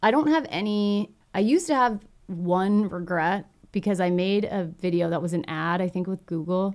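A woman with an American accent has an ordinary speaking voice at medium pitch. She talks at a moderate pace with ordinary pitch variation. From Texas. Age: 30s. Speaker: filmmaker and YouTuber. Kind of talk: casual chat.

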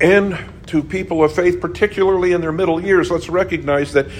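A man is talking. There is audible room echo. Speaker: pastor. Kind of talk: sermon. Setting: church. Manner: halting.

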